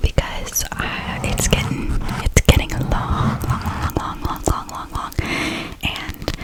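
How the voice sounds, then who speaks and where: A woman whispers at a very slow pace, with big swings in loudness. Noticeable background noise sits behind her. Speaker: ASMR creator. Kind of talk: casual ASMR talk to camera. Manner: whispered.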